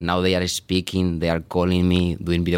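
Over a silent background in a very clean recording, a man with a very deep, low pitch talks at a fairly quick pace. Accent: Spanish. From Spain. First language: Spanish. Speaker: payroll supervisor. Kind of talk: interview.

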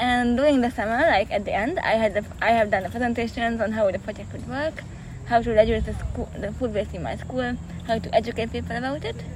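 A woman talking at a very fast pace amid noticeable background noise. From Hungary, Budapest. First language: Hungarian. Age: 20s. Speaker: peace activist. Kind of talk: interview. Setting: outdoors in a park.

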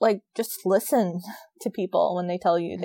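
In an American accent, this voice shows ordinary pitch variation, recorded very cleanly against a silent background with a dry, close sound and no echo. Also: woman. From US, DC/Maryland/Virginia area. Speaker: neuroscience researcher. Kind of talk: interview.

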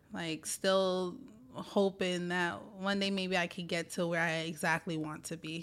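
Speaking fairly slowly in a flat monotone, a woman with a New York accent has a fairly low pitch. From New York City (Brooklyn, Staten Island). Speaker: union organizer. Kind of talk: interview.

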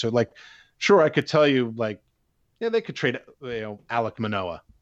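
A man's a normal speaking voice with an American accent, medium in pitch, at a moderate pace with ordinary pitch variation. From Pittsburgh, US. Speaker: baseball prospects analyst. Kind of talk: interview.

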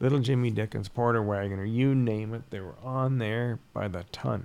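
An unremarkable speaking voice with a Canadian accent, at a moderate pace and with ordinary pitch variation. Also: man. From Ontario, Canada. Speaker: concert promoter. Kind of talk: casual chat.

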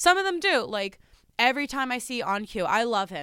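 Lively intonation and a moderate pace mark this speaker with a New Jersey accent. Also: woman. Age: 20s. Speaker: psychic medium. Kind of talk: casual chat.

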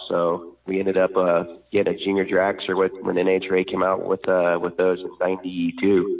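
A man with an unremarkable speaking voice talks at a moderate pace. His pitch is fairly low. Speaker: drag racing champion. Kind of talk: interview.

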